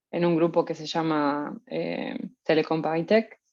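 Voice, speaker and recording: A woman speaks with a fairly low pitch in a Uruguayan accent. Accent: Rioplatense Spanish (Uruguayan). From Uruguay, Montevideo. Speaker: researcher. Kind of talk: lecture. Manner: hesitant, many fillers.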